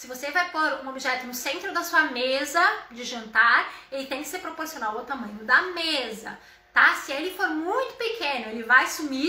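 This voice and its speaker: Her voice is raised and projected, high in pitch and animated in tone, with ordinary pitch variation at a moderate pace. There is audible room echo around the woman speaking. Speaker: home decor influencer. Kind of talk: live stream tutorial.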